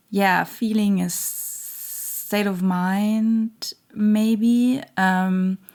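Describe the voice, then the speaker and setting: A woman with a non-native accent talks at a very slow pace. Her medium-pitched voice stays monotone and flat. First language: not English. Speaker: tarot reader. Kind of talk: channeled tarot reading monologue. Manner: halting, many fillers.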